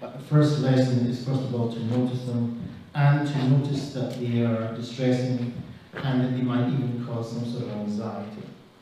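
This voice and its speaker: A man with a strong Israeli accent speaks at a medium pitch in a monotone, flat intonation. Noticeable background noise and audible room echo fill the recording. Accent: heavy Israeli. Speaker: clinical social worker. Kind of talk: talk to an audience. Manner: slow.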